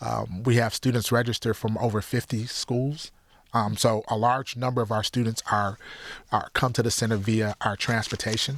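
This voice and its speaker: Recorded very cleanly against a silent background, a man with an American accent speaks at a moderate pace in a medium-pitched, monotone voice with flat intonation. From Detroit area, Michigan (Highland Park). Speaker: youth center director. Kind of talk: interview.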